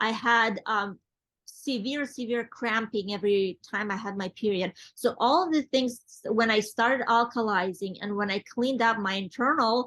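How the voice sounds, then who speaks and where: A woman with a non-native accent, fairly high pitch, ordinary pitch variation and a moderate pace, over a quiet background. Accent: foreign. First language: not English. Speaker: network marketing executive. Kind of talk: interview. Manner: halting.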